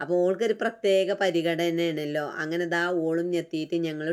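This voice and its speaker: A woman speaks with a Malappuram accent at a fairly low pitch in a monotone, flat intonation. The recording is very clean with a silent background. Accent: Malappuram Malayalam dialect. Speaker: vlogger. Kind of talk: casual vlog narration.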